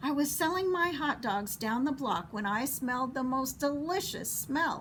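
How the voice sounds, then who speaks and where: A woman does a put-on character voice at a high pitch over clear background noise. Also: moderate pace. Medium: read story. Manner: eager, appreciative.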